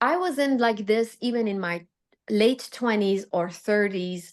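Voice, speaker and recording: Against a quiet background, a woman speaks with a Persian accent. Her fairly high-pitched voice moves at a fairly slow pace. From Iran. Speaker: fashion designer and psychology student. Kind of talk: podcast interview. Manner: halting.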